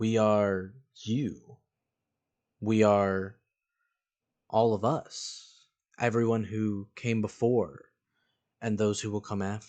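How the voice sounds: A put-on, raspy character voice from a man, fairly low in pitch, at a very slow pace with long, frequent pauses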